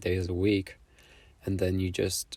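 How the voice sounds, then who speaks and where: A man's very deep, low, somewhat breathy voice at a fairly slow pace in a very clean recording with a silent background. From Poland. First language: Polish. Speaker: artist. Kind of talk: casual vlog monologue. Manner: halting.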